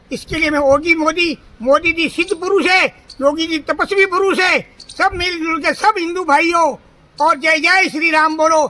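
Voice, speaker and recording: This man's voice is extremely high, raised and projected. His intonation stays fairly even. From Rajasthan, Jalore district. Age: 60s. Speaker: pilgrim cyclist. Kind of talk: street interview.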